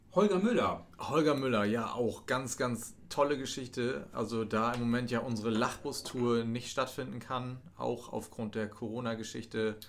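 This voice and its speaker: At a moderate pace with hardly any pauses, a man speaks in a plain, everyday voice at medium pitch with ordinary pitch variation. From East Frisia, northern Germany. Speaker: tourism office employee, podcast co-host. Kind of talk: casual chat.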